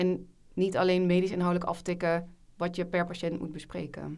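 This woman's voice sits fairly low in pitch. Her intonation is monotone and flat. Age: 20s. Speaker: junior doctor. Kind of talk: casual chat.

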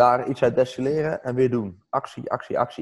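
A man with a fairly high voice talks rather quickly, his pitch moving in a normal way. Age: 30s. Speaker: entrepreneur and coach. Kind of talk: interview.

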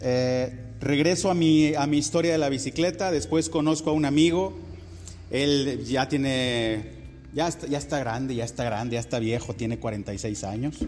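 Lively intonation marks a man's medium-pitched voice at a fairly slow pace. The room echo is audible. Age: 40s. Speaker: pastor. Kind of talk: sermon.

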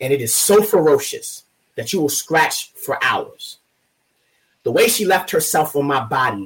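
Somewhat breathy and passionate, intense in tone, the voice moves at a fairly slow pace with lively intonation. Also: man. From Baltimore, Maryland. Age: 30s. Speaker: poet. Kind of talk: interview.

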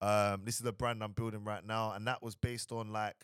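A man with a fairly low pitch speaks at a fairly quick pace on a very clean recording with a silent background. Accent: London. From Southeast London. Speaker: entrepreneur and marketing agency owner. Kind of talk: casual interview chat.

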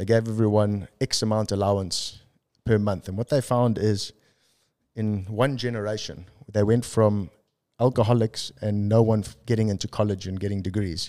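Very cleanly recorded against a silent background, a man speaks in a South African accent. His fairly low voice has a dark, mellow tone and fairly even intonation. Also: moderate pace. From South Africa (Durban). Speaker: entrepreneur. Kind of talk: casual chat.

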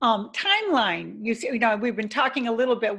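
At a moderate pace, a normal speaking voice carries ordinary pitch variation. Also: woman. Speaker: podcast host. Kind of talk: interview. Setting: video call.

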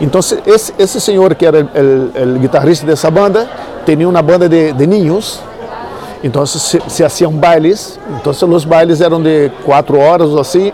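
A man with a Brazilian accent, high in pitch with ordinary pitch variation, at a moderate pace and very even loudness, amid audible room echo and crowd noise in the background. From Brazil, Niterói near Rio de Janeiro. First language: Portuguese (speaking Spanish). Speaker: musician. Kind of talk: casual interview. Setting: in-person interview filmed with 360 camera.

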